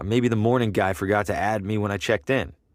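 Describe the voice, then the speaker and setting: Putting on a growling character voice, a man rattles along at a very fast pace with a fairly low pitch. The recording is very clean, with no background sound. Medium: video game. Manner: curt, deadpan.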